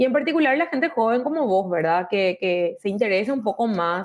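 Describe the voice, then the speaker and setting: A normal speaking voice with lively intonation at a fairly quick pace, in a very clean recording with a silent background. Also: woman. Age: 30s. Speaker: mayoral candidate. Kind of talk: interview.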